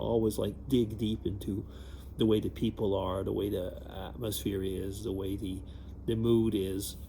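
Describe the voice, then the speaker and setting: A man's dark, mellow tone with vocal fry. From Quebec, Canada (bilingual small town). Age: 60s. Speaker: vlogger. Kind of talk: casual vlog monologue. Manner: hesitant, many fillers and restarts.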